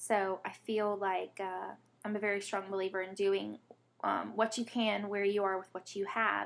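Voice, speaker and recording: A woman speaks in a Southern US accent at a medium pitch and a moderate pace. The recording is very clean, with a silent background. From US South (Alabama, born Mississippi). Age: 20s. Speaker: vlogger, patient advocate. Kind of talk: personal testimony vlog. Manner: rambling, hesitant with many fillers.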